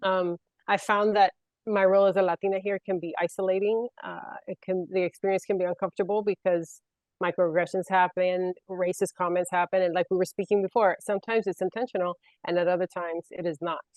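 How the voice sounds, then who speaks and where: A woman with a Puerto Rican accent speaks at a very fast pace. Her medium-pitched voice is monotone, with flat intonation. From Puerto Rico. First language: Spanish. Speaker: panelist. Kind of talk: panel discussion.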